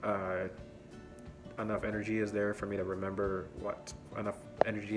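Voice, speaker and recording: Music plays in the background. A man speaks in a fairly low, monotone, flat voice. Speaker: college student. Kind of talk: casual talk to camera. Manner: hesitant, rambling.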